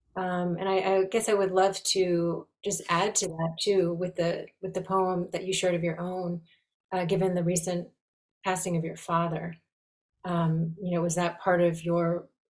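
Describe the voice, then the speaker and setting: Somewhat breathy, fairly slow speech with monotone, flat intonation. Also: woman. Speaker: call host. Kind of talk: hosting introduction. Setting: video call webinar.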